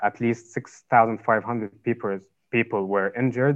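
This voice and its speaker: In a Lebanese accent, a man speaks at a medium pitch with fairly even intonation. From Lebanon. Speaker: university student. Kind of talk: interview, personal testimony. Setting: video call.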